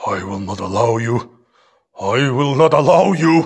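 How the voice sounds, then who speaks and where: A man growls in a put-on character voice at a medium pitch. He keeps a moderate pace. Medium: audio drama. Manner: arrogant, hostile.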